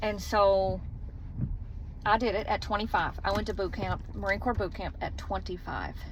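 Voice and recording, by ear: A woman speaks at medium pitch and a moderate pace. Her pitch varies in an ordinary way.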